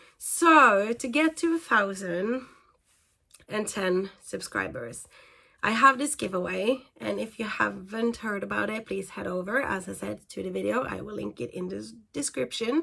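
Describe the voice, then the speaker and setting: Speaking with a non-native accent at a fairly slow pace, a woman shows big swings in loudness. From Norway. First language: Norwegian. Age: 30s. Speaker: equestrian vlogger. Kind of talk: casual talk video. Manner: hesitant, many fillers.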